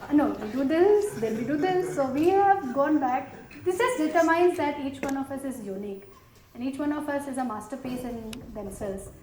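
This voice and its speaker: Speaking at a fairly quick pace with a slight South Indian accent, this voice has lively intonation, while noticeable background noise and audible room echo come through. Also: woman, high pitch for a woman. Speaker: panelist, former banker. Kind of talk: panel discussion. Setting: stage with audience.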